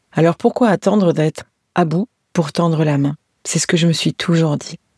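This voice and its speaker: The woman's tone is warm, her pitch fairly low. She speaks at a moderate pace with fairly even intonation. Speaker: podcast host, end-of-life care companion. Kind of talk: personal podcast monologue. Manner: warm, tender, intimate.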